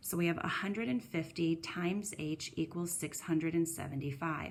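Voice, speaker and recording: A woman speaks with a very deep, low pitch. Her intonation is fairly even. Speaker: middle school math teacher. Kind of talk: recorded lesson. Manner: fast.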